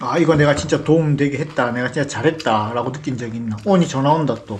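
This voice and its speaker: This man talks at a very fast pace in a fairly high voice. His pitch varies in an ordinary way, and there is noticeable background noise. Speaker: vlogger, interviewer. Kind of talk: casual interview.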